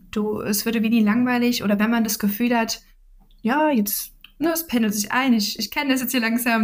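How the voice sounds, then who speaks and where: A woman's fairly high, somewhat breathy voice with fairly even intonation. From Saxony, Dresden. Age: 20s. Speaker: management consultant. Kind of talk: interview.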